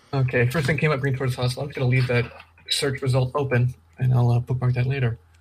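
The speech comes at a very fast pace in a monotone, flat intonation. Noticeable background noise is present. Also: man, medium pitch for a man. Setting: video call. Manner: fast talker.

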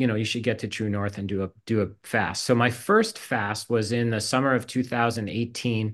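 A man with a normal speaking voice, medium in pitch, at a moderate pace with fairly even intonation, against a quiet background. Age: 50s. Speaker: college provost. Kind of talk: casual chat.

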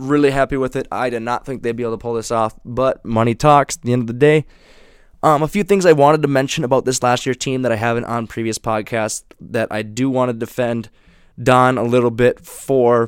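A man speaks at a medium pitch with an Upper Midwest accent. His pace is fairly quick, and the sound is dry and close with no echo. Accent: Upper Midwest (Minnesota). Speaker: sports podcast host. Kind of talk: solo sports commentary podcast. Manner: animated.

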